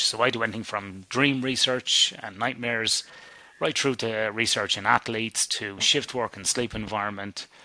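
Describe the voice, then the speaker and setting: A man with an Irish accent, a fairly low pitch, a bright, sharp tone, fairly even intonation and a fairly quick pace. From Ireland. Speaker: sleep scientist. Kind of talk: interview.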